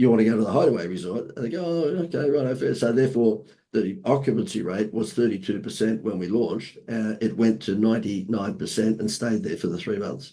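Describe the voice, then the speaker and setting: A man's medium-pitched voice with an Australian accent, dark and mellow in tone, fairly quick, lively in intonation and with hardly any pauses. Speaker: marketing consultant. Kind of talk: podcast interview. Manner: animated.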